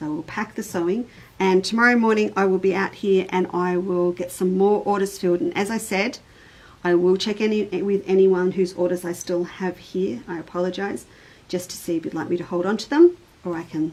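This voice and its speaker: With an Australian accent, a woman at medium pitch talks at a fairly quick pace, using ordinary pitch variation and big swings in loudness. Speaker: quilting shop owner and online show host. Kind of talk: live stream chat. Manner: formal.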